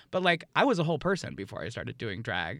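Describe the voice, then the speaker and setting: Recorded very cleanly with a silent background, a man speaks at a fairly quick pace with vocal fry and very wide pitch swings. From New York City. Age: 30s. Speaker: drag performer. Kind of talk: casual interview.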